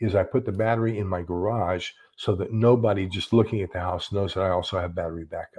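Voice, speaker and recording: Against a quiet background, a man with an American accent talks quickly enough to count as fairly quick, his fairly low pitch carrying a dark, mellow tone and a somewhat breathy quality. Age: 70s. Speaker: YouTuber talking about prepping and books. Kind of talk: casual livestream chat. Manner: halting, with many repeated words.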